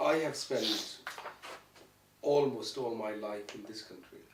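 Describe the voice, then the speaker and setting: A man's voice over noticeable background noise. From Pakistan, Punjab. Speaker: youth and community worker. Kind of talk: interview answer.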